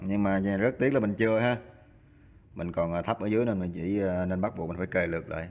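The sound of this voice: Speaking fast, a man with a fairly low pitch uses fairly even intonation and a slightly mellow tone.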